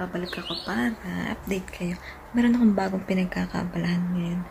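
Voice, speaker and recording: A woman speaks quietly at a fairly quick pace with fairly even intonation, and there is noticeable background noise. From Philippines. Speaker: vlogger, mother. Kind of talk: casual vlog talk to camera. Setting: at home. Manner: quiet, lowered voice so baby can sleep.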